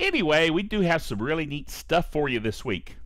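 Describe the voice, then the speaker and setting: A man talks at a fairly slow pace with vocal fry. The sound is dry with no echo, over a quiet background. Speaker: tech show host. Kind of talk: casual show host talk with sponsor read. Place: home room. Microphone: headset.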